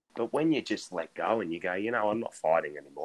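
This man has an Australian accent. He talks very fast. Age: 20s. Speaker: podcast co-host. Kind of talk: casual chat.

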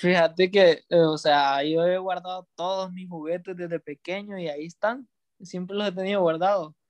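A man's high-pitched voice with fairly even intonation and big swings in loudness. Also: moderate pace. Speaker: podcast co-host, graphic designer. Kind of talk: casual chat. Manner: halting, many repetitions.

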